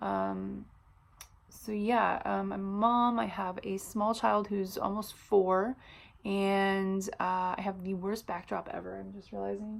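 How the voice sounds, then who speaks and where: This speaker talks at a very slow pace in a Californian accent, with big swings in loudness. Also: woman. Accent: some California vocal fry. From US Midwest, Illinois (Chicago suburbs). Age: 30s. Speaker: vlogger and hairstylist. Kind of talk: casual vlog introduction. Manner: many filler words.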